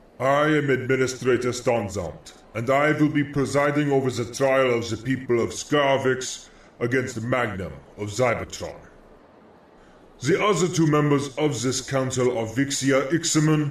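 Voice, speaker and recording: A booming man's put-on character voice at medium pitch with a moderate pace. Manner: authoritative, announcing.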